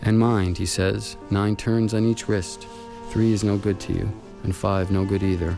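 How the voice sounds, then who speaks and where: With music in the background, a man talks at very even loudness and with fairly even intonation. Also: fairly low pitch for a man, moderate pace. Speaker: narrator reading prose. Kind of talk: literary narration, poetry reading.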